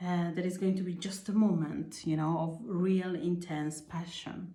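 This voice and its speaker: With audible room echo, a woman speaks at a fairly slow pace in a fairly low, somewhat breathy voice, its tone dark and mellow and its intonation fairly even. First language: not English. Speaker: tarot reader. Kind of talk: tarot reading. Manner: halting, with fillers.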